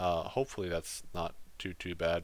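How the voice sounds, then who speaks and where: On a very clean recording with a silent background, a man speaks at a moderate pace in a very deep, low pitch with monotone, flat intonation. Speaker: gaming YouTuber. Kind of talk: gameplay voiceover commentary. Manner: halting, many fillers.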